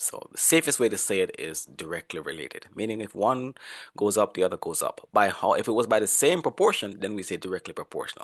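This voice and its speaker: A man speaks at a very fast pace, with a dry, close sound with no echo and a quiet background. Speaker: professor. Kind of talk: lecture.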